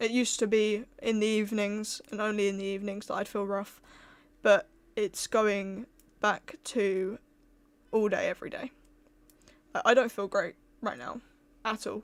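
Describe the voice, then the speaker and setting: A soft-spoken woman keeps a fairly even intonation and leaves long, frequent pauses in a very clean recording with a silent background. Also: fairly high pitch for a woman, moderate pace. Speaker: streamer. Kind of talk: casual chat.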